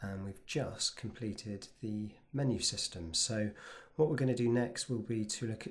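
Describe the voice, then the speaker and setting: A man talks at a fairly low pitch and a fairly slow pace. His voice is somewhat breathy, with ordinary pitch variation. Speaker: web design tutor. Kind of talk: screen-recorded software tutorial. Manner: casual, relaxed.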